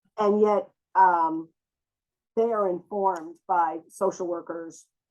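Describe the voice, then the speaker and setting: A woman's fairly low-pitched, a normal speaking voice with fairly even intonation, set against a quiet background. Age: 60s. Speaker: therapist and trauma expert. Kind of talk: interview.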